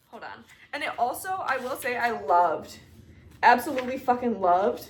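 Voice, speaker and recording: A woman talks in an animated tone with a high pitch and very wide pitch swings. Her pace is moderate, and her loudness swings widely. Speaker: book YouTuber. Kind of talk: casual chat.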